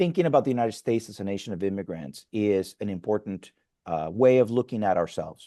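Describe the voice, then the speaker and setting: The background is quiet. A man speaks in a dark, mellow tone with a Spanish accent. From Mexico. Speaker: pastor. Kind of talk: interview conversation. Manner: halting, frequent fillers and restarts.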